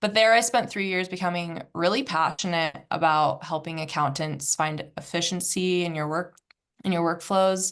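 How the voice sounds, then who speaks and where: A woman with a fairly low pitch speaks with a slight Midwestern accent. The background is quiet. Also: ordinary pitch variation, moderate pace. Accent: slight Midwest. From Indianapolis, US Midwest. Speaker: software company representative. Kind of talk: webinar presentation. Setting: online webinar.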